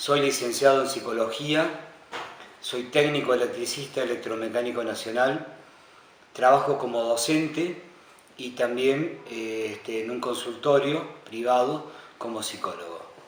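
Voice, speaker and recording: Speaking at a fairly slow pace, a man with a medium-pitched voice and ordinary pitch variation swings widely in loudness, with noticeable background noise and audible room echo. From Argentina, Córdoba province. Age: 60s. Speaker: war veteran. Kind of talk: testimony. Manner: halting.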